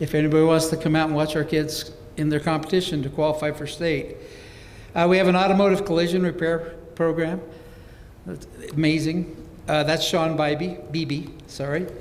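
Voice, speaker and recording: With audible room echo, a man talks at a fairly quick pace and fairly high pitch, leaving long, frequent pauses. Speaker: career-technical education program director. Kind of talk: presentation to a school board. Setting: school board meeting with audience. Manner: fast; enthusiastic.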